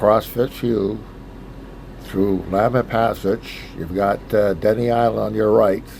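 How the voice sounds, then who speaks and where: At a fairly slow pace, the speaker talks in a monotone, flat intonation over noticeable background noise. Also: man, fairly low pitch for a man. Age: 70s. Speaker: solo boat captain. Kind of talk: casual travel vlog narration.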